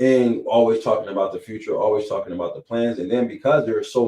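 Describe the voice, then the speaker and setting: Talking at a fairly quick pace, a man has an American accent. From Erie, Pennsylvania, US. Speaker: realtor and local political candidate. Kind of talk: podcast interview.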